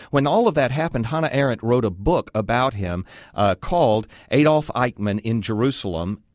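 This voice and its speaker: A man with an American accent uses a normal speaking voice at a medium pitch, moving at a fairly quick pace. His intonation is lively, and the sound is dry and close with no echo. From Texas. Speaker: guest radio host. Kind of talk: call-in talk radio. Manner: conversational, frequent fillers.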